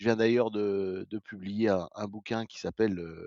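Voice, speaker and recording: The man's pitch is fairly low. He speaks at a moderate pace. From France, Vosges. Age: 60s. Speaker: retired paralympic athlete. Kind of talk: interview. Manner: halting, many hesitations.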